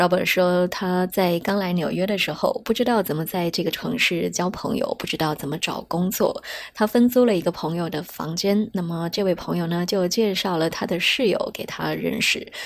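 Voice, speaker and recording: A woman with a Chinese accent speaks at medium pitch with ordinary pitch variation. She goes at a fairly quick pace with hardly any pauses. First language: Mandarin Chinese. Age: 30s. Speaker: podcast host. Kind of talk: scripted narration.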